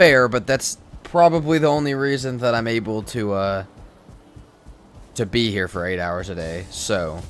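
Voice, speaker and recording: With music in the background, a man with a Midwestern accent talks at medium pitch and a moderate pace, his intonation lively, with long, frequent pauses. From US Midwest, Kansas. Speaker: live streamer, gamer. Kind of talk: live gameplay stream chat. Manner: casual, conversational.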